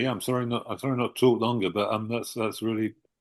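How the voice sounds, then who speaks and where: Talking at a very fast pace, a man with a southern English accent keeps a medium pitch. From southern England. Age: 60s. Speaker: author. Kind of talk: interview.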